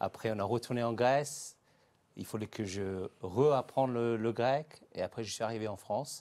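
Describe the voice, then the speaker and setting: With ordinary pitch variation, a man talks at a moderate pace in a medium pitch. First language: Greek (speaking French). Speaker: entrepreneur, language school founder. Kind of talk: interview. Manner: hesitant, many filler sounds.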